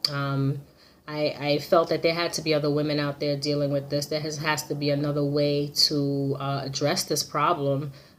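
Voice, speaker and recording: The woman's voice is very deep and low-pitched. She speaks at a moderate pace with monotone, flat intonation. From Jamaica. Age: 40s. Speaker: client testimonial. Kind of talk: testimony. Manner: halting, many fillers.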